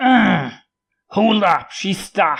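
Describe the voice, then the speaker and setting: Using a put-on character voice, a man sounds raspy and high-pitched, his intonation lively. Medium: read story. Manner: coarse, griping.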